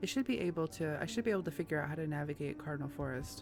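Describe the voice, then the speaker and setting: The voice is soft-spoken, moving at a fairly quick pace. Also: woman. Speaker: gaming YouTuber. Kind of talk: let's play commentary reading game text aloud.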